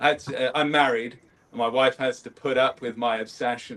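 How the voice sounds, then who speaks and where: A fairly quick pace in a British accent. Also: man. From United Kingdom. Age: 40s. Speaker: scale modeller. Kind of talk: casual chat. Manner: hesitant, many fillers.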